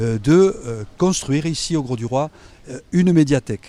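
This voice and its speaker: A man with a fairly high, dark, mellow voice talks at a fairly slow pace with lively intonation, the sound dry and close with no echo. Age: 60s. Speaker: mayoral candidate. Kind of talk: campaign interview. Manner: hesitant, many fillers.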